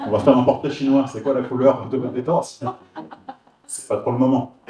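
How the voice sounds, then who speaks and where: The man's medium-pitched voice stays monotone and flat while swinging widely in loudness over noticeable background noise. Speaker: hypnosis trainer. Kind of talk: workshop presentation. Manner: fast, many repetitions and fillers.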